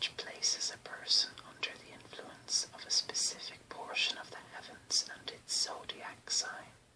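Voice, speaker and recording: Someone whispers with an Irish accent at a fairly slow pace. Noticeable background noise is audible. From Ireland. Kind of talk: ASMR reading of an encyclopedia-style text. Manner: whispered.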